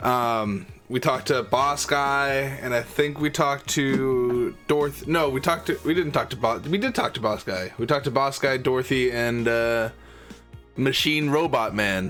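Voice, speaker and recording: A man with a medium-pitched voice speaks at a very even volume over background music. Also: ordinary pitch variation, moderate pace. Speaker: gaming YouTuber. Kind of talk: casual gameplay commentary.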